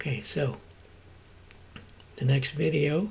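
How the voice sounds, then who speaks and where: A man talks in a somewhat breathy, fairly high voice. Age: 60s. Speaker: vlogger and rideshare driver. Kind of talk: casual vlog monologue. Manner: halting, many fillers.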